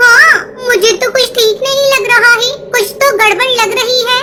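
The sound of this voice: A cartoonish character voice, female-sounding, reaches an extremely high pitch. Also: moderate pace.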